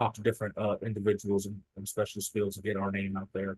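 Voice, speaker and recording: Talking at a very fast pace, a man with a Southern US accent has a fairly low pitch, recorded with a dry, close sound and no echo. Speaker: state emergency medical services program staff. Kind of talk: presentation. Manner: halting, many fillers.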